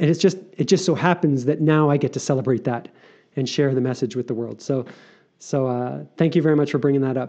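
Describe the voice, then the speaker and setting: This man has a plain, everyday voice, a fairly high pitch and ordinary pitch variation, and he talks at a fairly quick pace. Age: 40s. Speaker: author and circus performer. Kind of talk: casual interview chat.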